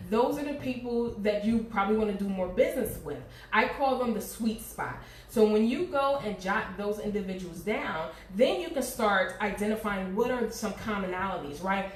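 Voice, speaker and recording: Over noticeable background noise and audible room echo, a woman with an American accent talks at a fairly high pitch with ordinary pitch variation. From US Northeast, Pennsylvania (Harrisburg). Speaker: marketing and sales coach. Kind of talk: live-streamed business workshop. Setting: Facebook livestream. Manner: fast; some stuttering and restarts.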